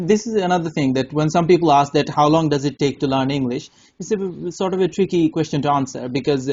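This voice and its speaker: A man talks at a very fast pace with a Bengali accent. His pitch is fairly high, with ordinary pitch variation. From Bangladesh. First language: Bangla. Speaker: English test tutor. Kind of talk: casual chat. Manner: halting.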